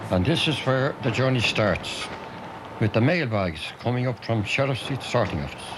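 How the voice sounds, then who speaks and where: Over noticeable background noise, a man with a Dublin accent talks at a moderate pace and medium pitch with lively intonation. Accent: Irish, Dublin. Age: 60s. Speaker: retired mail sorter. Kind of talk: documentary narration.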